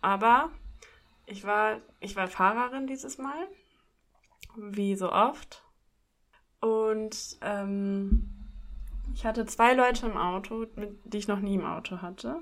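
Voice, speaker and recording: A woman's fairly high voice at a very slow pace, with ordinary pitch variation, long, frequent pauses and big swings in loudness. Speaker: podcast co-host. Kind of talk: casual chat.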